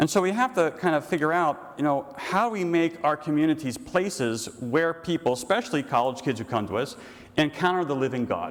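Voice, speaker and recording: With an American accent, a man speaks at a fairly high pitch and a fairly quick pace, his intonation lively. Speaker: priest. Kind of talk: lecture. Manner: fast; animated.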